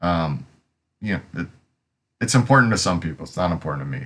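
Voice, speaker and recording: With an American accent, a man speaks at a moderate pace in a very deep, low pitch. His intonation is lively and there is vocal fry. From Pennsylvania, US. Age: 50s. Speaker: software developer. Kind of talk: live coding tutorial with storytelling. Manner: rambling, hesitant with many fillers.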